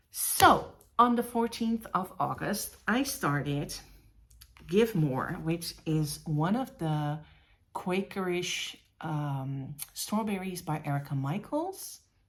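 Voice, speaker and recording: Somewhat breathy and fairly low-pitched, a woman speaks at a very slow pace with very wide pitch swings. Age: 50s. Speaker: cross-stitch vlogger. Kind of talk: casual show-and-tell vlog.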